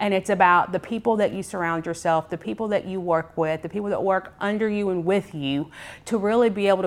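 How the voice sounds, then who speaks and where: A woman with an American accent speaks at a fairly low pitch, her pitch varying an ordinary amount. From Georgia, US (Clayton and Henry County). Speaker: media and marketing business owner. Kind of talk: podcast interview.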